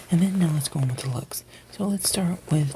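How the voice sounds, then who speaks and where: A soft-spoken man talks at a fairly high pitch with ordinary pitch variation over noticeable background noise. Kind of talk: ASMR review and recap of a TV show, casual commentary.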